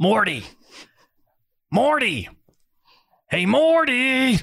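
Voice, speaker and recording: The pitch is fairly high. It is a put-on character voice. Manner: put-on cartoon character voice.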